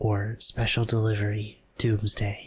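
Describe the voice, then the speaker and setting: A somewhat breathy male voice. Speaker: ASMR gameplay commentator. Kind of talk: casual talk to camera, map exploration commentary. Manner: slow, relaxed, gently humorous.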